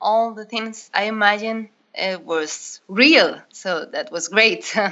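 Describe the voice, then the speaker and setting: This voice comes with a Spanish accent. Its tone is bright and sharp. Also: woman. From northern Spain. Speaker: diving instructor. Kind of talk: interview. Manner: hesitant, non-native phrasing.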